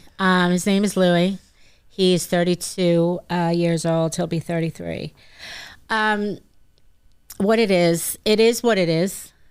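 The speaker has a New York accent and fairly even intonation. The pace is very slow, with long, frequent pauses. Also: woman, fairly low pitch for a woman. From Long Island, New York. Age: 50s. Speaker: recovering addict and peer counselor. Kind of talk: testimony.

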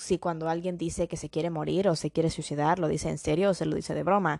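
Against a quiet background, a woman with a fairly low pitch speaks in a monotone, flat way, the sound dry and close with no echo. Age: young. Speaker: podcast host. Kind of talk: solo podcast monologue. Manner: code-switching Spanish and English.

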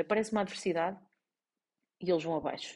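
Somewhat breathy, a woman talks in a European Portuguese accent. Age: 40s. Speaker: life coach and podcast host. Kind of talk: solo podcast monologue. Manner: halting, many fillers and restarts.

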